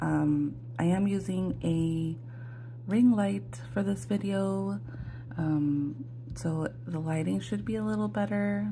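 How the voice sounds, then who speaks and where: Very slow female speech with audible echo from the room. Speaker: budgeting vlogger. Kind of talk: casual tutorial. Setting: home, morning, ring light. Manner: hesitant, many fillers.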